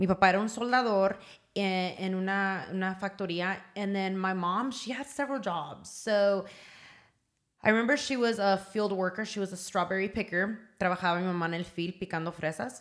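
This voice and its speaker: In an American accent, a woman talks at a fairly quick pace with an ordinary speaking voice, medium pitch and ordinary pitch variation. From Southern California, Oxnard. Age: 30s. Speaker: small business owner. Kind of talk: casual chat. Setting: studio.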